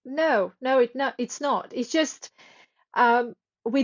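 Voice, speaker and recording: Speaking at a very slow pace in a non-native accent, a woman with a high pitch uses ordinary pitch variation. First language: not English. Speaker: author and sleep coach. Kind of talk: interview. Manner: halting.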